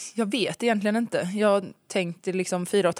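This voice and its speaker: A woman's voice with fairly even intonation. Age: 20s. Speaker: school assistant. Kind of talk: casual chat.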